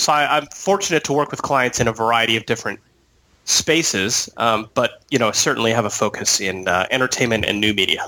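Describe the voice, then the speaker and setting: A man speaks at a fairly quick pace with an American accent, an ordinary speaking voice. His pitch sits in the medium range, with ordinary pitch variation. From San Diego, California. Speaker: attorney. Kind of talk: interview. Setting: Skype call.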